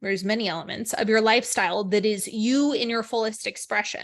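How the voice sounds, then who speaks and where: Against a quiet background, a woman talks in an unremarkable speaking voice at a fairly high pitch. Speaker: spiritual podcast host. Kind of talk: spiritual talk monologue.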